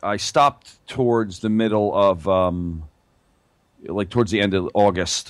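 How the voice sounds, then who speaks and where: On a very clean recording with a silent background, the pitch varies in an ordinary way. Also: man. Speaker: chiropractor. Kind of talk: business consultation. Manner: halting, many fillers.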